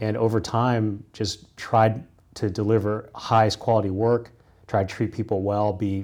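With a Midwestern American accent, a man speaks at a fairly low pitch in a monotone, flat intonation. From US Midwest, Kansas. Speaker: corporate lawyer. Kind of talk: interview conversation.

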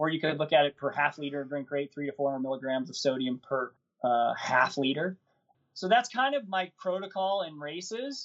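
This man has an unremarkable speaking voice, pitched fairly high, and talks at a moderate pace. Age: 50s. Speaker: ultrarunner and running coach. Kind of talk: interview.

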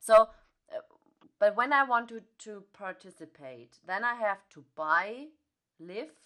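A woman with a German accent speaks at a very slow pace in a bright, sharp tone. Her loudness swings widely. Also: fairly high pitch for a woman. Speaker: podcast host. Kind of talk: interview. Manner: halting, many fillers.

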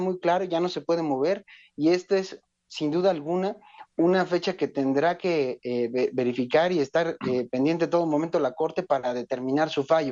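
A man with a high pitch, ordinary pitch variation and a fairly quick pace. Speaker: legislative researcher. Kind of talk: phone interview. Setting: phone call. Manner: formal.

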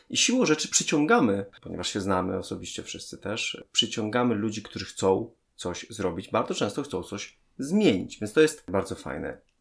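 A plain, everyday voice from a man, medium pitch, lively intonation, moderate pace. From Poland, Częstochowa. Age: 30s. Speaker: parenting blogger. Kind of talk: interview conversation.

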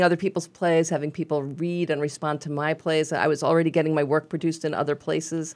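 A woman speaks at a very deep, low pitch. Her intonation is monotone and flat. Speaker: playwright, radio guest.

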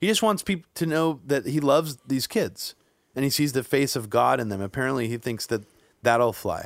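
Over a silent background in a very clean recording, a man with a plain, everyday voice speaks at medium pitch and a moderate pace with lively intonation. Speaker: podcast host. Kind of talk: casual discussion podcast.

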